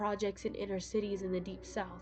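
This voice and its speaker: A woman talks at a moderate pace. Background music accompanies her. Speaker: horror story narrator. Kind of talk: horror story reading.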